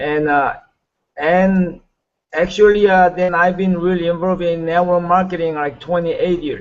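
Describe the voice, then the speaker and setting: A man's high voice with a Korean accent, monotone, flat intonation, and a moderate pace. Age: 60s. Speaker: network marketing leader. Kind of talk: motivational talk. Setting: video call. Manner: halting.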